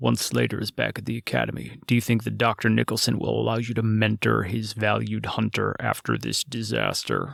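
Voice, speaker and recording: A man does a put-on character voice at a fairly quick pace with hardly any pauses, recorded with a dry, close sound and no echo. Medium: read story. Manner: sneering, taunting.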